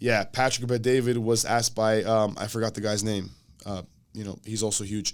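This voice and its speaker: Animated in tone, a man speaks at a medium pitch on a very clean recording with a silent background. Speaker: gym owner and entrepreneur. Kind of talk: casual podcast interview. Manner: fast.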